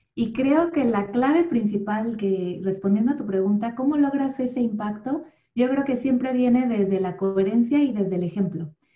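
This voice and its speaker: With a dark, mellow tone and fairly high pitch, a woman talks with hardly any pauses. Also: lively intonation, moderate pace. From Mexico City. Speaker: yoga instructor and voice-over artist. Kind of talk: interview conversation.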